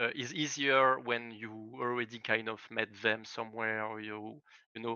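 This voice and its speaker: A man's medium-pitched voice with a French accent, fairly even intonation and a moderate pace. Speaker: esports team founder. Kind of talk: interview. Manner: halting, many fillers.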